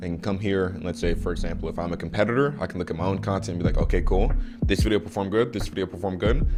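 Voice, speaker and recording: A man's very deep, low voice with an American accent, very fast pace and ordinary pitch variation, music in the background. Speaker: online course instructor. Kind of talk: tutorial. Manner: casual, profane.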